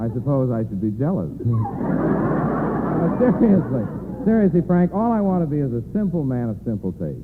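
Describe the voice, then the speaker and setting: A man speaks at a moderate pace in a fairly high pitch with very wide pitch swings. Noticeable background noise runs underneath. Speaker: actor and radio guest. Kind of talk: radio guest banter, theatrical delivery.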